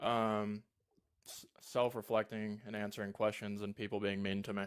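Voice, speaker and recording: A man speaks at a fairly low pitch with a monotone, flat intonation. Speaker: caller, philosophy student. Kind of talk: casual debate chat. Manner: soft-spoken; sounds accidentally condescending.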